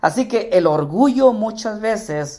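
The man sounds animated, with lively intonation. His recording is very clean, with a silent background. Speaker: personal finance radio host. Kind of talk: live radio talk show.

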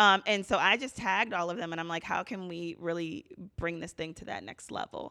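Quick-paced and lively in intonation, a woman with an American accent uses a plain, everyday voice, fairly low in pitch, with big swings in loudness. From US South (Virginia). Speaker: entrepreneur, salon owner. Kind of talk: interview. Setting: live podcast interview.

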